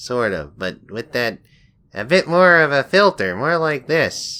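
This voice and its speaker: A man puts on a character voice, pitched fairly high and delivered at a fairly slow pace. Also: very clean recording, silent background. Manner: snarky.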